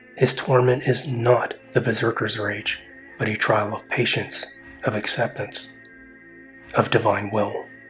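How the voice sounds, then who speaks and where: Music plays in the background as a man speaks at medium pitch with monotone, flat intonation, a fairly slow pace, and long, frequent pauses. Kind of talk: mythology essay narration.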